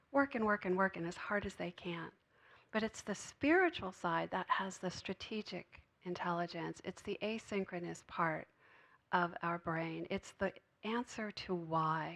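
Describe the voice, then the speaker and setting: Soft-spoken delivery with ordinary pitch variation against a quiet background. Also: woman, medium pitch for a woman, fairly slow pace. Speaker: spiritual speaker. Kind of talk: sermon.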